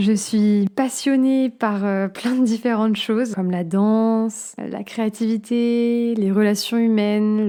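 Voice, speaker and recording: Very slow woman's voice, fairly high in pitch with a dark, mellow tone and monotone, flat intonation, on a very clean recording with a silent background. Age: 20s. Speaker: podcast host. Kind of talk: personal monologue podcast. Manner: hesitant, many fillers.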